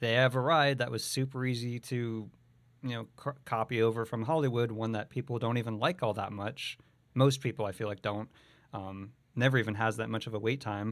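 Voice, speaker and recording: On a very clean recording with a silent background, a man with an ordinary speaking voice talks at a medium pitch and a fairly quick pace with fairly even intonation. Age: 30s. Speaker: podcast host and voiceover artist. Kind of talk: casual chat.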